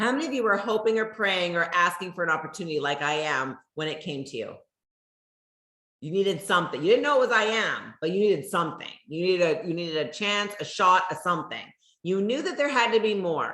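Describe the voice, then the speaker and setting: Loud and animated, a woman talks at a fairly quick pace with lively intonation. Her bright, sharp tone carries audible room echo. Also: medium pitch for a woman. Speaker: network marketing leader. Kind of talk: motivational talk.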